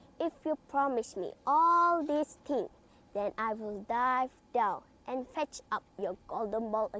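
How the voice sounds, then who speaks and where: At a fairly slow pace, a woman puts on a high-pitched character voice. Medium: read story.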